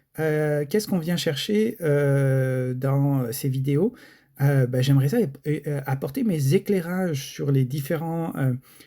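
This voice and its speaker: With a dark, mellow tone and a fairly high pitch, a man speaks at a very slow pace. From France. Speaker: gaming YouTuber. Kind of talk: casual video commentary. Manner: hesitant, many fillers.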